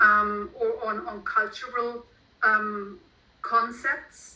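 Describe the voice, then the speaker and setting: A woman speaks fairly high with a German accent. Her tone is bright and sharp, with audible room echo. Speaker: author. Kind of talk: interview. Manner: halting.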